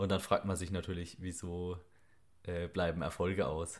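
On a very clean recording with a silent background, a man with a very deep, low pitch speaks in a flat monotone at a moderate pace. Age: 20s. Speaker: podcast co-host, electronics technician and online fitness coach. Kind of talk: casual chat.

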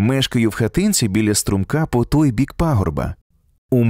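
An unforced reading voice with lively intonation sounds against a quiet background.

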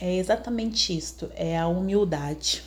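A woman speaks with a Brazilian accent. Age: 30s. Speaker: podcaster. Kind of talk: personal testimony monologue. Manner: halting, many fillers.

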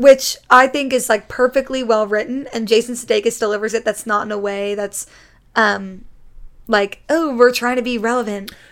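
A woman with an American accent, fairly high in pitch, at a moderate pace with fairly even intonation, in an ordinary speaking voice. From Connecticut, US. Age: 20s. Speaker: YouTuber and drama student. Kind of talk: casual chat.

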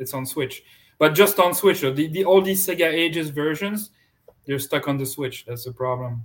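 Speaking at a moderate pace with a French accent, a man uses a fairly high pitch, ordinary pitch variation and big swings in loudness. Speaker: podcast host. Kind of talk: casual chat.

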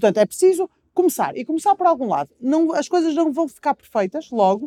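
In a dry, close sound with no echo, a woman talks at a fairly quick pace, her high pitch swinging very widely and her tone dark and mellow. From Portugal, Porto. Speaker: nutritionist and public speaker. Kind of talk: interview testimony.

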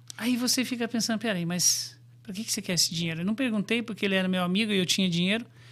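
Racing at a very fast pace, a man with a high pitch speaks with ordinary pitch variation. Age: 50s. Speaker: forex trader and brokerage CEO. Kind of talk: interview.

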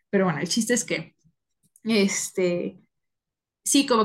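Fairly slow, somewhat breathy speech from a woman, pitched fairly high. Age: 20s. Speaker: podcast co-host. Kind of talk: casual chat.

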